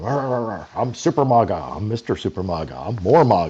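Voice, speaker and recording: A man with a Texan accent talks at a moderate pace. His voice is fairly low in pitch, with a dark, mellow tone. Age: 60s. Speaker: political candidate, military veteran. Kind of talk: interview.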